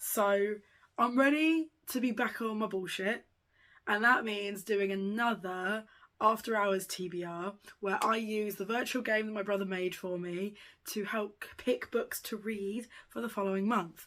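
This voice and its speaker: Fairly slow, fairly even speech from a woman with a British accent at a medium pitch, on a very clean recording with a silent background. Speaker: book youtuber. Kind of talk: casual vlog chat.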